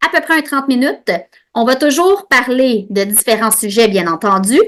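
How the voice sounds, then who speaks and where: With a Quebec accent, a woman speaks at a high pitch, her intonation lively and her loudness very even. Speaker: podcast host and osteopath. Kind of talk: educational monologue. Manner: fast; animated.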